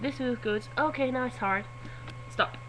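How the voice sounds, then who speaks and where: The speaker is a woman with a Swedish accent. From Sweden. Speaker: vlogger. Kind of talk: casual vlog. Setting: webcam recording.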